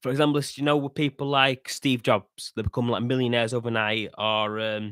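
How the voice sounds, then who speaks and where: A man with a Yorkshire accent, medium pitch, fairly even intonation and a moderate pace, in a dry, close sound with no echo on a very clean recording with a silent background. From northern England, Yorkshire. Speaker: podcast host. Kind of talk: casual monologue commentary. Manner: halting, with restarts and fillers.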